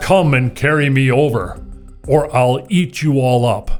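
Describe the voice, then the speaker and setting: A man's put-on character voice at a fairly slow pace, with faint music in the background. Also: medium pitch for a man. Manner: threatening, roaring.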